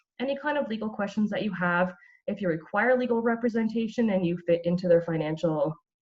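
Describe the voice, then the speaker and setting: A woman talks at a very fast pace in a Canadian accent, her voice medium in pitch and somewhat breathy. Her intonation is lively. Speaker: brain injury violence program coordinator. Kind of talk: community presentation.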